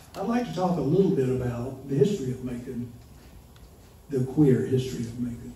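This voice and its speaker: Audible room echo surrounds a man speaking at a moderate pace with a Southern US accent. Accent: Southern US (Georgia). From US South, small-town Georgia. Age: 70s. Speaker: storyteller. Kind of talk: live storytelling. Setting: stage with audience.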